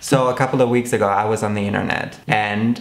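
While a man talks, clear music is heard in the background. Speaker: video host. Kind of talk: casual vlog chat. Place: home room.

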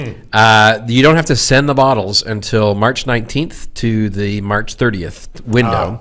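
A man speaks with hardly any pauses. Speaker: podcast co-host. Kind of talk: casual podcast chat. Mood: relaxed, joking. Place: studio. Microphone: studio mic.

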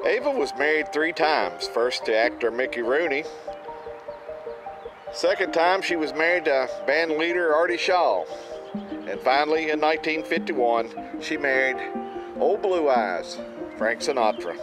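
A man at a fairly slow pace, with long and frequent pauses, dry sound with no echo, and clear music in the background. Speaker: travel vlogger. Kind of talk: commentary. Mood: calm, respectful. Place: open country.

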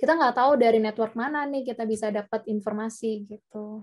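A woman speaks at a fairly quick pace in an unremarkable speaking voice, fairly high in pitch with ordinary pitch variation, against a quiet background. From Indonesia. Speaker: webinar speaker, working student; webinar speaker. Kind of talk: presentation and Q&A. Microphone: video call.

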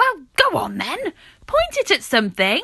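In a put-on character voice, a woman cackles at an extremely high pitch while keeping a moderate pace. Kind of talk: comic cartoon villain. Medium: read story. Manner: sneering, cackling, theatrical.

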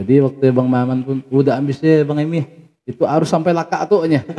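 A dark, mellow tone with ordinary pitch variation over a quiet background. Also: man. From West Kalimantan, Sambas area; West Kalimantan. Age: 30s. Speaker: village head; guest. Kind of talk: interview. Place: studio. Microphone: studio mic.

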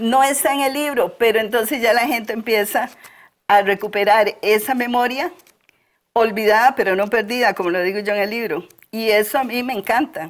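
Her pitch moves up and down in an ordinary way. The woman keeps a moderate pace. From Costa Rica, Alajuela rural highlands. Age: 60s. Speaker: local author; interview guest. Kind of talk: interview. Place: studio. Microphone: lapel.

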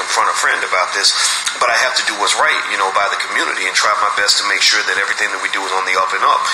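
Very fast speech comes from a man over noticeable background noise. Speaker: podcast host. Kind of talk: podcast monologue. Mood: earnest, warning tone. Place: home room. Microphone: phone near.

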